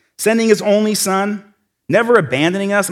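A man with an American accent, high-pitched for a man, at a fairly quick pace. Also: very clean recording, silent background. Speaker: church lay speaker. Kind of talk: sermon. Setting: stage with audience. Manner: fast; animated.

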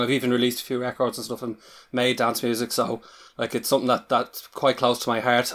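A man with an Irish accent speaks at a medium pitch in a monotone, flat delivery. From Ireland. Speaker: podcast guest. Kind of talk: casual discussion podcast.

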